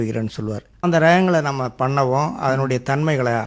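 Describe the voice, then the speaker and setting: A man's fairly high, plain, everyday voice with ordinary pitch variation. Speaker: retired headmaster turned organic farmer. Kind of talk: radio interview. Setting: radio studio.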